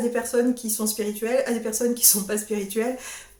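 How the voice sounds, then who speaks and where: A woman's fairly high voice with fairly even intonation and audible room echo. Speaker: sophrologist. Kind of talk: solo vlog talk. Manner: halting, repeats words.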